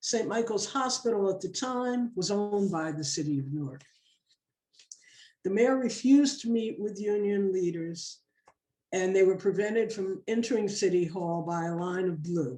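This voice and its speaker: A woman speaks with lively intonation in a dark, mellow tone. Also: medium pitch for a woman, moderate pace. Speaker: congregation member giving a sermon. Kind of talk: sermon reading a personal family story.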